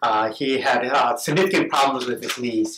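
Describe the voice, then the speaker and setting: Noticeable background noise runs under this man's voice. His intonation is fairly even. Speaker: orthopedic surgeon. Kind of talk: interview with patient.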